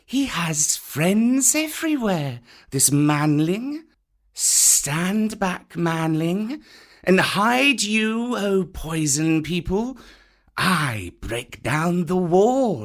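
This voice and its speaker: A man puts on a character voice, high-pitched with very wide pitch swings and a very slow delivery. The recording is very clean, with a silent background. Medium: read story. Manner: slow, hissing, sly.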